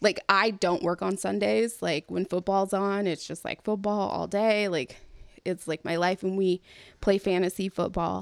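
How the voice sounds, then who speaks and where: A plain, everyday voice from a woman, medium pitch and ordinary pitch variation, at a fairly slow pace, with a dry, close sound with no echo on a very clean recording with a silent background. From California. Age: 30s. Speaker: podcast host. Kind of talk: casual chat.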